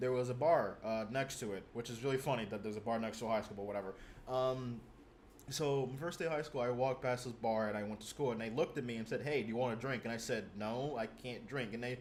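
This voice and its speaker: At a very fast pace, a man talks with fairly even intonation. His pitch is medium. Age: 20s. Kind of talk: casual chat. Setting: video call. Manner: halting.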